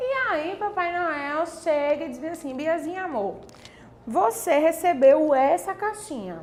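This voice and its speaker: A woman at an extremely high pitch, speaking very slowly, with noticeable background noise. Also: lively intonation. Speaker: online course teacher. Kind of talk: online class.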